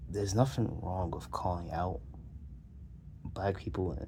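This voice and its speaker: In a room with audible echo, a man talks at a moderate pace in a very deep, low pitch, his tone dark and mellow with vocal fry. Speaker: video commentator. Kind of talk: casual monologue. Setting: lying on a pillow on the floor. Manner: halting, with many fillers and repeats.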